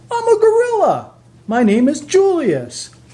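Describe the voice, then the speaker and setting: In a put-on character voice, a man squeaks at an extremely high pitch and a moderate pace. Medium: read story. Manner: polite.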